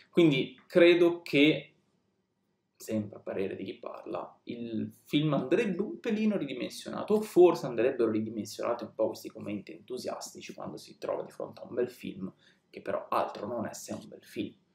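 A man's voice with big swings in loudness and audible room echo. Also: moderate pace. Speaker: film reviewer on a video channel. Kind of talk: casual monologue film review. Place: home room.

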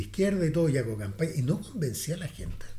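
The speaker is a man with a Chilean accent. His tone is dark and mellow, and somewhat breathy. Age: 60s. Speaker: political commentator. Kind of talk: casual chat. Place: meeting room. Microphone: studio mic.

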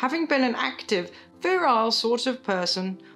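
A woman at a fairly high pitch with very wide pitch swings, speaking at a very slow pace over faint background music. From UK. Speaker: comedian, poet. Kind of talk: reading a letter aloud. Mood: deadpan, listless, weary. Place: home room.

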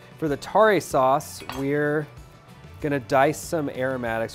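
Faint music sits in the background. Over it, a man talks at a fairly slow pace. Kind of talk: tutorial. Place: kitchen.

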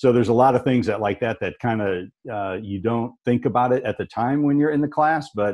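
In a quiet background, a man speaks at a fairly quick pace. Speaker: space agency engineer and manager; panelist. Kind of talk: panel discussion. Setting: video webinar. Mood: friendly, reflective. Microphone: earbuds.

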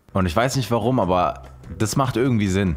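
Faint music plays in the background. A man is talking over it. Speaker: reaction video host. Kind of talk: casual commentary. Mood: warm, enthusiastic. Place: home room. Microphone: studio mic.

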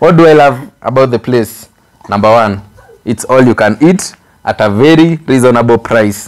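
A man at a moderate pace, with ordinary pitch variation, against a quiet background. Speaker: vlogger co-host. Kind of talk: casual vlog chat. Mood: cheerful, laughing. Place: home room.

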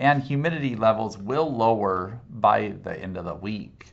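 A man talks in a normal speaking voice at a medium pitch, with ordinary pitch variation. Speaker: meteorologist. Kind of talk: weather report. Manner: formal; steady, informative.

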